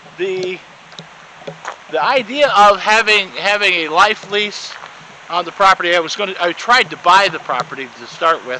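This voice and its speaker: A man with a high-pitched, raised and projected voice talks at a moderate pace with ordinary pitch variation, leaving long, frequent pauses over noticeable background noise. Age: 50s. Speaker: property owner giving video tour. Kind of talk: casual walking video tour. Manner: halting, many fillers and repeats.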